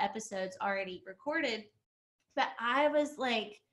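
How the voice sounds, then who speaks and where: A woman's high-pitched, bright and sharp voice with an Alabama accent and ordinary pitch variation. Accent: Southern US (Alabama). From Alabama, US South. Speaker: realtor and coach. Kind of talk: casual podcast interview. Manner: casual, filler-heavy.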